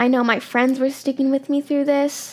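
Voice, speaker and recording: A woman speaks at a high pitch and a fairly slow pace. Noticeable background noise runs underneath. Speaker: podcast host. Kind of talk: personal vlog-style monologue. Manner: halting, hesitant.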